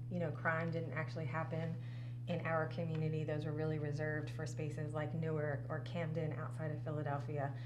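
A woman talks at a fairly quick pace in an American accent. Background noise is noticeable. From New Jersey, near the Jersey Shore. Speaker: nonprofit organizing director. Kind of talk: casual interview. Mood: reflective, personal. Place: studio.

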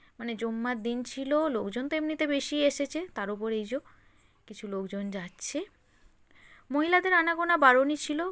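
A woman's high, raised and projected voice, bright and sharp in tone, with lively intonation, on a very clean recording with a silent background. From West Bengal, Hooghly district. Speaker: vlogger. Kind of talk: vlog narration. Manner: casual, chatty.

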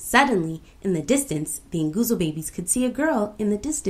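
The clip is an unforced reading voice with lively intonation.

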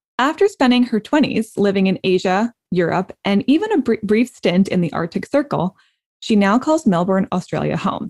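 An ordinary speaking voice with lively intonation, recorded with a dry, close sound and no echo. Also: woman. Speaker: life and career coach. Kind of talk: casual chat.

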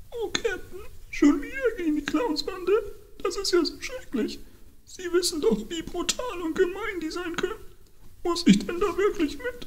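Extremely high pitch at a moderate pace, broken by long, frequent pauses, with clear background noise. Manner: anxious, fearful, pleading.

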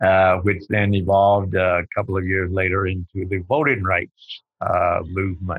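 Very deep, low male voice with fairly even intonation and hardly any pauses. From Texas. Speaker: nonprofit leader and civil rights organizer. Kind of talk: interview. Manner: slow.

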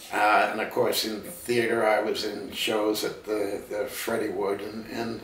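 With audible room echo, a speaker in a Canadian accent goes at a fairly slow pace. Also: man. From Vancouver, Canada; British Columbia, Canada. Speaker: television producer; interview guest. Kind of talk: casual interview conversation. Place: home room.

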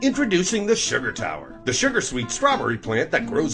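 A man talks at a fairly quick pace in an upbeat tone. Music plays in the background. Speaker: commercial voice-over announcer. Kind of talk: TV commercial read. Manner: upbeat, salesy.

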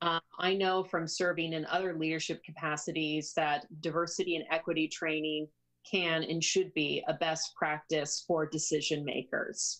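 A woman speaks in a fairly low pitch at a moderate pace, her intonation monotone and flat, against a quiet background. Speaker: city councilor. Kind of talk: formal meeting statement. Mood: earnest, persuasive. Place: home room. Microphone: video call.

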